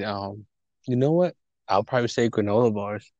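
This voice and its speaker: A fairly low-pitched man's voice, dry and close with no echo, against a quiet background. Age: 20s. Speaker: podcast co-host. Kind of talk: casual chat.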